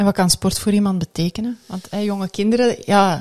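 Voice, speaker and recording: Against a quiet background, a woman speaks at a fairly quick pace in a dark, mellow, somewhat breathy tone with fairly even intonation. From Belgium. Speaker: podcast host. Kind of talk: interview. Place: studio. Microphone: studio mic.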